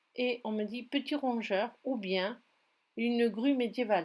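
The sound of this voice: On a very clean recording with a silent background, the speaker's intonation sounds lively. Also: woman.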